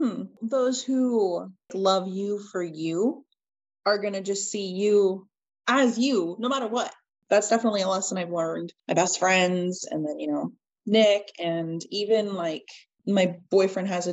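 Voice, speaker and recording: Ordinary pitch variation from a woman with an ordinary speaking voice. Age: 20s. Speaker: podcast guest sharing alopecia story. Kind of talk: casual chat.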